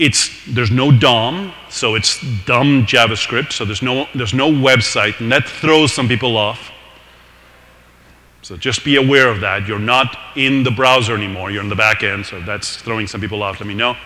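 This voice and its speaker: A man talks at a moderate pace with a non-native accent, medium pitch and ordinary pitch variation. The recording has audible room echo and noticeable background noise. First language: not English. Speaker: tech meetup presenter. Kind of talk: technical presentation. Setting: live meetup with audience.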